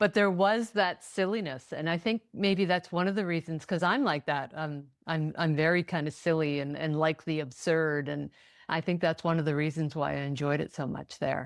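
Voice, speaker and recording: This woman's pitch is very deep and low, with ordinary variation. She talks at a moderate pace over a silent background on a very clean recording. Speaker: podcast host. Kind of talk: podcast interview. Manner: upbeat, chatty.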